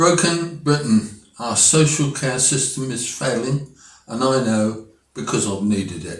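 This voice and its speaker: A man with an English accent, medium pitch, lively intonation and a fairly slow pace. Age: 80s+. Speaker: political commentator. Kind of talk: opinion monologue.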